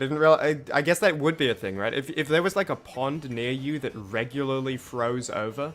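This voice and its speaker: Fairly high-pitched man with an Australian accent, a fairly quick pace, hardly any pauses and ordinary pitch variation. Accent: Australian accent, mistaken by chat for Kiwi. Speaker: game streamer. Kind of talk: live gameplay commentary. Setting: live stream. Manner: casual, halting with restarts.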